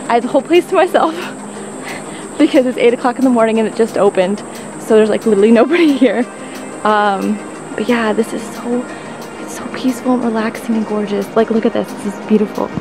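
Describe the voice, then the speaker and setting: Over clear background music, a woman talks at a very fast pace with ordinary pitch variation in a dry sound with no echo. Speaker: travel vlogger. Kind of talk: casual vlog chat. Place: forest. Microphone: phone near.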